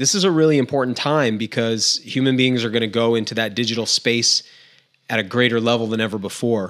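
Against a quiet background, a man talks at a very fast pace, his medium pitch moving with ordinary variation. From Maine. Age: 40s. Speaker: outdoor guide and podcaster; podcast guest. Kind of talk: casual interview chat. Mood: reflective, earnest. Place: home room. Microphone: studio mic.

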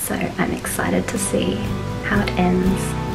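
Noticeable noise sits in the background as the woman talks. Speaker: vlogger. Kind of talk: casual vlog chat. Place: home room. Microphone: phone near.

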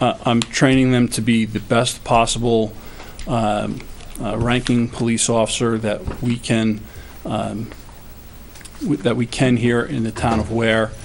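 A man speaks at a medium pitch and a fairly slow pace in a flat monotone, with long, frequent pauses over light background noise. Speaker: police chief. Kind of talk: town board budget meeting. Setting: town meeting room. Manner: halting, hesitant. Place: meeting room.

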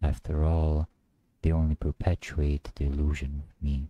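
A man speaks at a fairly slow pace in a very deep, low voice, his dark, mellow tone intense and his intonation monotone and flat, with a dry sound and no echo. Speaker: poet reciting. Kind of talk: spoken word poetry, confessional and despairing. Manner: brooding, intense, darkly introspective; repetitive, incantatory, building in emphasis. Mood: somber, brooding. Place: home room. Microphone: studio mic.

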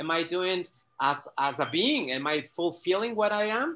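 A man speaks at a moderate pace with lively intonation. His tone is bright and sharp. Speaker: quantum coach; guest or coach in an online talk. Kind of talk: casual video-call conversation. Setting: video call. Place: home room. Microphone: video call.

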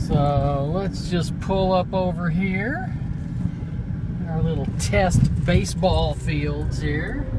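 Very slow speech comes through a dry, echo-free recording with loud background noise. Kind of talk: casual vlog commentary. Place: car.

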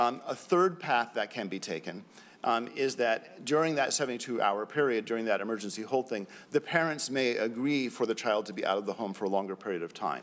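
A man's fairly quick delivery with lively intonation. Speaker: government program evaluator; report manager testifying. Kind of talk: legislative hearing testimony. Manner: formal. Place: hall. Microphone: podium.

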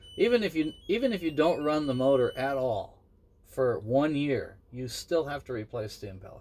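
With music in the background, a man speaks at a moderate pace using lively intonation. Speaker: catamaran owner and sailor. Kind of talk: casual conversation. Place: boat. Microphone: phone near.

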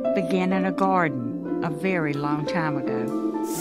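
The woman here talks fairly slowly. Behind her, music is playing. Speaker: voice actor playing Mary, mother of Jesus. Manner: emotional, reflective.

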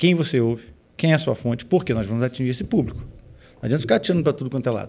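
Very fast talking from a man, the pitch varying in an ordinary way. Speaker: pastor and music producer; pastor. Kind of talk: casual chat. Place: studio. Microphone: studio mic.

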